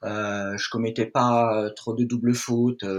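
Medium-pitched male voice at a very slow pace, with fairly even intonation. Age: 50s. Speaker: mental performance coach. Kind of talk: interview. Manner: hesitant, many fillers.

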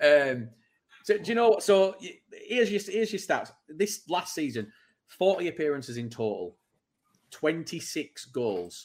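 With a Manchester accent, a man speaks at a fairly slow pace in a high pitch, making very wide pitch swings and taking long, frequent pauses. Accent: Greater Manchester English. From Bury, Greater Manchester, England. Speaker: podcast host. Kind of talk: casual chat.

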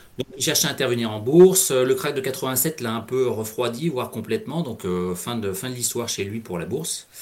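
A man at medium pitch speaks at a moderate pace with lively intonation and hardly any pauses. There is noticeable background noise. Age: 40s. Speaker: payroll worker and amateur trader. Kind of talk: interview. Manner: halting.

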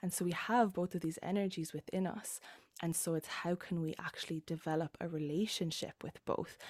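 In an Irish accent, a woman with a fairly low pitch speaks at a fairly quick pace and fairly even intonation, recorded very cleanly against a silent background with a dry, close sound and no echo. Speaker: embodiment coach. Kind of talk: casual chat.

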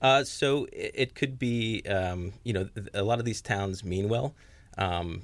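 A man's ordinary speaking voice, fairly low in pitch, at a moderate pace in a very clean recording with a silent background. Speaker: conservation manager. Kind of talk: radio interview.

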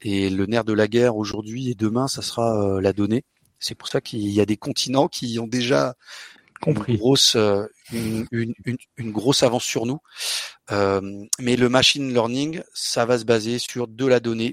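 Recorded very cleanly against a silent background, with a dry, close sound and no echo, an ordinary speaking voice talks at a moderate pace with fairly even intonation. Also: man, medium pitch for a man. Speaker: software developer and conference organizer. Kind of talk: interview.

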